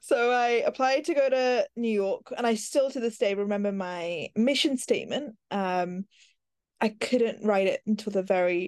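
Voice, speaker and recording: A woman with an American accent at a fairly high pitch and a moderate pace, in a dry, close sound with no echo. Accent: London with American touches. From West London. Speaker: radio presenter and content producer. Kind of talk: casual interview.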